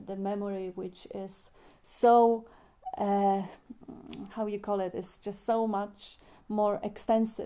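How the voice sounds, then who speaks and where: A woman with a non-native accent speaks at a fairly slow pace and a medium pitch, her dark, mellow tone monotone and flat, broken by long, frequent pauses. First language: not English. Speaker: spiritual discussion moderator. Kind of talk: spiritual group discussion. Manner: halting.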